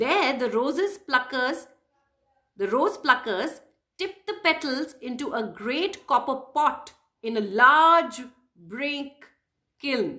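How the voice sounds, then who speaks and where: Speaking very slowly with long, frequent pauses, a woman uses a high, raised, projected voice. Her tone is dramatic and her intonation lively. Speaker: puppeteer and educator. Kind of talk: children's story reading. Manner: expressive, dramatic.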